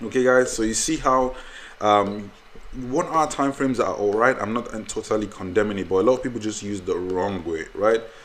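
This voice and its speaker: A man talks at a fairly quick pace with a medium pitch and ordinary pitch variation, over noticeable background noise. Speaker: trading educator. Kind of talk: tutorial. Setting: screen recording. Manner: fast.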